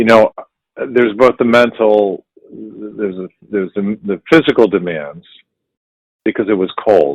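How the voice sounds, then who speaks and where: With an American accent, a man speaks at a fairly slow pace. His pitch variation is ordinary. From US Midwest, Cleveland, Ohio. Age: 60s. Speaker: actor. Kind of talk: interview.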